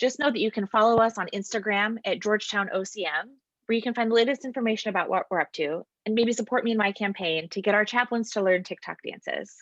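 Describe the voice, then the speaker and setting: A woman speaks fairly quickly in an unremarkable speaking voice with an American accent. The sound is dry and close, with no echo. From US West Coast. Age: 30s. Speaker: campus ministry staff. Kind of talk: interview; scripted presentation.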